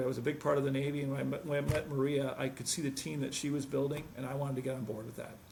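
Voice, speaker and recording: Fairly high male voice over audible room echo. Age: 60s. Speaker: medical device sales executive. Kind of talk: interview. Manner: halting.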